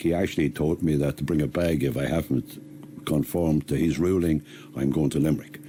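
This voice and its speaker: With a Tipperary accent, this man talks at a fairly quick pace in a very deep, low voice, his dark, mellow tone touched with vocal fry and his intonation fairly even. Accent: Irish, Tipperary. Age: 60s. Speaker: man facing eviction. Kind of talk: interview.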